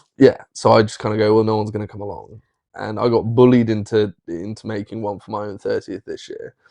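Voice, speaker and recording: Against a quiet background, a man with a southern English accent speaks very fast in a monotone, flat intonation at a fairly low pitch, with big swings in loudness and a dry, close sound with no echo. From southern England, Marlborough, Wiltshire. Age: 30s. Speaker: social media content creator. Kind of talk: casual chat.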